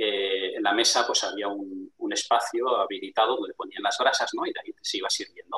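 At a moderate pace and with hardly any pauses, a man speaks in a dry, close sound with no echo. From Spain, Barcelona. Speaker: international trade businessman. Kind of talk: interview.

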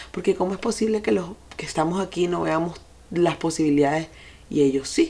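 A woman's fairly low, dark and mellow voice at a fairly quick pace, with ordinary pitch variation. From Venezuela. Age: 40s. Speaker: podcast host, life and sex coach. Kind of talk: personal monologue.

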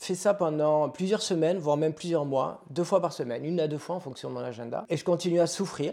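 On a very clean recording with a silent background, a man speaks at a fairly quick pace with a fairly high pitch, a dark, mellow tone and ordinary pitch variation. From southwest France, Pau. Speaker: yoga and meditation teacher. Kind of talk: casual interview.

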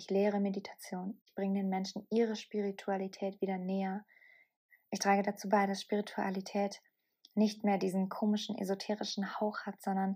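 A woman speaks at a medium pitch and a moderate pace, her delivery monotone and flat. Her tone is dark, mellow and somewhat breathy, in a very clean recording with a silent background. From southern Bavaria, Germany. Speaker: podcast host and mindset coach. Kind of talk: solo podcast monologue.

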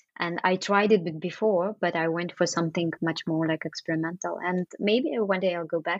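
This woman has a fairly low pitch and a Russian accent. She talks with hardly any pauses. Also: moderate pace. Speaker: architect and artist. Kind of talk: interview. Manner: hesitant, many fillers.

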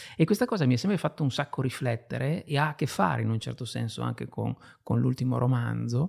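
A man's somewhat breathy, dark, mellow tone at a medium pitch with lively intonation, in a dry, close sound with no echo on a very clean recording with a silent background. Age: 50s. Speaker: writer and illustrator. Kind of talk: interview.

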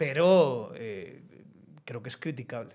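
A man speaks in a Castilian accent. His pitch swings very widely. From Spain, Zamora. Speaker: podcast host and political analyst. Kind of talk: casual political discussion. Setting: studio.

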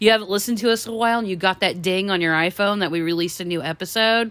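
This is an unremarkable speaking voice. Its pitch varies in an ordinary way. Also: woman. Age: 40s. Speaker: podcast co-host. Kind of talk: casual chat.

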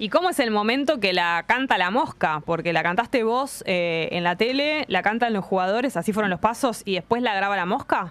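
A woman's plain, everyday voice at a medium pitch, moderate in pace, with lively intonation and hardly any pauses. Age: 40s. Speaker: radio host. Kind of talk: casual chat.

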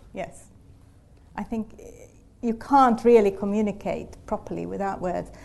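A woman's medium-pitched voice, fairly even in intonation, at a fairly slow pace with long, frequent pauses. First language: not English. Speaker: human geneticist. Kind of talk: panel discussion. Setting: live event with audience.

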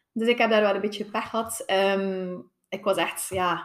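Here a woman speaks at a medium pitch. Her pace is moderate. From Belgium, West Flanders (Tielt). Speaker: physiotherapist. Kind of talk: interview testimony. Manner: halting, many fillers.

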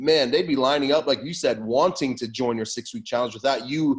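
The speaker has a normal speaking voice with an American accent. The pace is fairly quick. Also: man. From California. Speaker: fitness business consultant. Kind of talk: casual chat.

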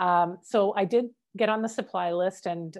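In a very clean recording with a silent background, a woman with a Canadian accent talks at a fairly low pitch with ordinary pitch variation in a plain, everyday voice. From Canada. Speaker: educational strategist. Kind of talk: interview.

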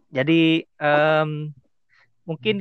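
This man has a fairly high-pitched voice. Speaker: podcast host. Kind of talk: casual interview chat. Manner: casual, occasionally stumbling over words.

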